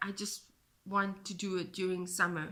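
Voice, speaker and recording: A woman with a South African accent, a bright, sharp tone and a moderate pace. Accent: Afrikaans South African English. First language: Afrikaans. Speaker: knitting podcaster and yarn dyer. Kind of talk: casual chat. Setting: home, kitchen table.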